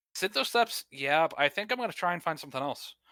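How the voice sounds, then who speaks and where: A man with a Northeastern US accent speaks very fast with lively intonation and a bright, sharp tone, in a very clean recording with a silent background and a dry, close sound with no echo. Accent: Northeastern US accent, drops word endings. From US Northeast. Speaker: gaming podcast co-host. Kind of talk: casual chat.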